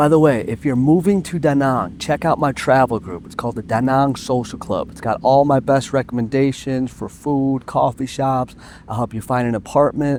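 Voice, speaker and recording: With a normal speaking voice, a man talks at a moderate pace and medium pitch, using ordinary pitch variation, hardly any pauses and big swings in loudness. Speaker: travel vlogger. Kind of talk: vlog narration.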